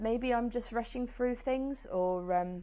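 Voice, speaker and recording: A woman talks in a fairly high pitch. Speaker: knitting podcaster. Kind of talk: casual vlog chat. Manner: fast.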